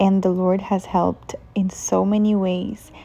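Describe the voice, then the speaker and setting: A woman's medium-pitched voice in a Brazilian Portuguese accent, with a dark, mellow tone and monotone, flat intonation. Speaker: lifestyle vlogger. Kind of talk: casual garden tour vlog; inspirational talk.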